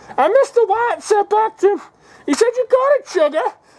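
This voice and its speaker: Extremely high in pitch, a woman speaks in a playful tone with lively intonation. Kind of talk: comedic sports storytelling. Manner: repetitive, playful.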